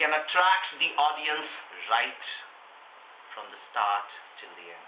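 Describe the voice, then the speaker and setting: In an Indian accent, a man with a fairly high voice makes very wide pitch swings and big swings in loudness, pausing long and often amid noticeable background noise and audible room echo. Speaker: public speaking workshop leader. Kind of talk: workshop.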